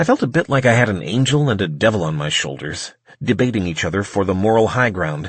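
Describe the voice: Reading aloud, plainly done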